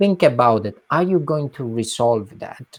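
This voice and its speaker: On a very clean recording with a silent background, a man speaks with an Italian accent. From southern Italy, Calabria. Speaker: nonprofit executive. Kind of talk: interview.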